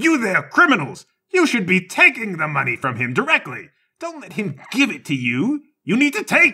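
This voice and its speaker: Shouting in a put-on character voice, a man hits a high pitch with very wide swings at a moderate pace. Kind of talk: imperious, theatrical. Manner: yelling commands.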